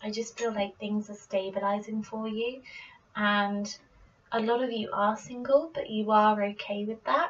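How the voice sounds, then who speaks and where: A British accent at a fairly slow pace, with ordinary pitch variation and noticeable background noise. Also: woman, fairly high pitch for a woman. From Britain. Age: 20s. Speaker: tarot reader. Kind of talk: casual tarot reading to camera. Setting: home recording, poor microphone.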